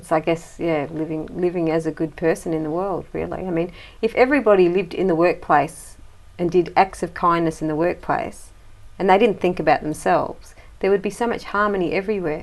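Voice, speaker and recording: With an Australian accent, a woman speaks fairly quickly in a fairly low voice and with fairly even intonation. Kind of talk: casual chat.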